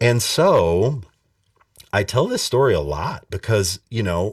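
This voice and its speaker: A man talks very slowly, with lively intonation. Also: very clean recording, silent background. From Montana. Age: 40s. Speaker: bass player and music instructor. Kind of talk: casual interview.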